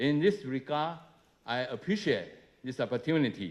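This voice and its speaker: This man talks with a Chinese accent. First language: Mandarin Chinese. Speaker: government minister. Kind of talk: speech. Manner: halting, many filler uh's.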